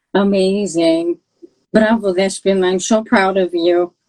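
A woman speaks with a Greek accent. The sound is dry and close, with no echo. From Greece. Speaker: podcast host, PhD researcher. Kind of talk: casual interview. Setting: live stream. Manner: animated.

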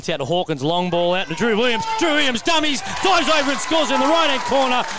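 At a very fast pace, a man talks over noticeable background noise. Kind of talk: live sports commentary. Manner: fast, animated play-by-play patter with friendly shout-outs to viewers.

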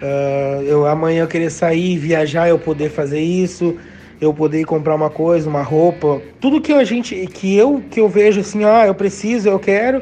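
With music playing in the background, a man speaks at a moderate pace in a high pitch. His intonation is lively, in a southern Brazilian accent. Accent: gaúcho Brazilian Portuguese. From Rio Grande do Sul, Brazil (Novo Hamburgo area). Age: 30s. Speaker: gaúcho dance teacher. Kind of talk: casual interview chat.

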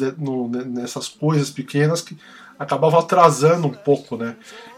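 A man with an ordinary speaking voice keeps a moderate pace and ordinary pitch variation. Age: 40s. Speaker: music podcast host. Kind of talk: casual chat.

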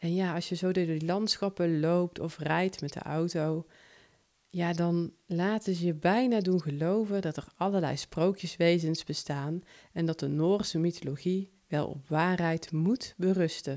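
A woman speaks at a fairly slow pace with a slight Brabant accent, her fairly low pitch and dark, mellow tone held to a fairly even intonation on a very clean recording with a silent background. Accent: slight Brabant Dutch. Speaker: podcaster and short story writer. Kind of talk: personal podcast monologue.

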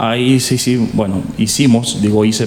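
Over noticeable background noise, a man speaks at a moderate pace with a medium pitch. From Dominican Republic, Santo Domingo. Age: 40s. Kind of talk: interview.

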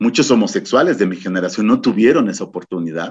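A man's medium-pitched voice rushes along at a very fast pace with lively intonation. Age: 50s. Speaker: activist and gender expert. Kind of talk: radio interview. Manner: halting.

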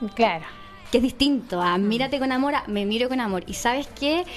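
High pitch from a woman, with ordinary rises and falls. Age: 30s. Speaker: podcast co-host. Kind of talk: casual interview.

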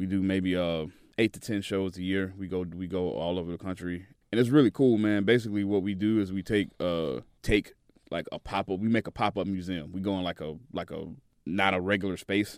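Very deep, low male voice in a Southern US accent, fairly quick and fairly even in intonation, in a very clean recording with a silent background. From Tennessee, Chattanooga. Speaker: DJ. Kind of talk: casual interview. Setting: studio.

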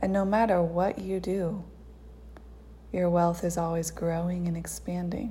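A woman speaks in a flat monotone with a soothing, calm, dark and mellow tone, somewhat breathy and fairly low in pitch. Her pauses are long and frequent. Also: fairly slow pace. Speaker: meditation guide. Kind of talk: guided meditation. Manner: slow, soothing, calm and unhurried with long pauses; gentle, hypnotic, coaxing.

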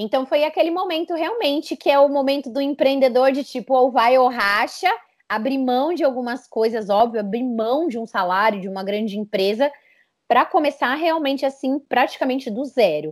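In a very clean recording with a silent background, a woman talks at a moderate pace with a high pitch and lively intonation. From Brazil, São Paulo. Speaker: entrepreneur, communications agency founder. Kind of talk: interview.

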